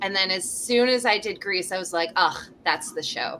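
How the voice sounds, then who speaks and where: With a Canadian accent, a woman speaks in an animated tone with ordinary pitch variation. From Canada. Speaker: touring fringe theatre performer. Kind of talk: casual interview chat.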